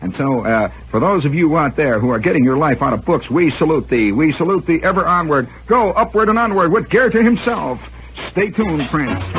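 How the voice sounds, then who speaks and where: Over noticeable background noise, a man with a fairly high pitch talks at a moderate pace with very wide pitch swings and hardly any pauses. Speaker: radio host and storyteller. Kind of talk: comedic radio monologue. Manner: wry, sardonic, rambling.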